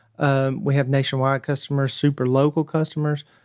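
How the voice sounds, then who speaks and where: A man's fairly high voice with a Southern US accent and monotone, flat intonation. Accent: Southern US twang. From North Georgia. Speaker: tech startup founder. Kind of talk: radio interview. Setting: studio.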